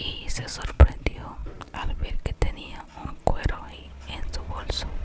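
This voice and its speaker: Someone whispers at a very slow pace amid noticeable background noise. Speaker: ASMR content creator and storyteller. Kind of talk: ASMR whispered story reading. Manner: whispered, soft, slow.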